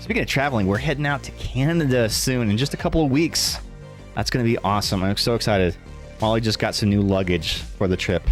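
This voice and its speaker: Over music in the background, a man with a fairly low pitch talks at a very fast pace, his tone energetic and his intonation lively. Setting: livestream. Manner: energetic, projected.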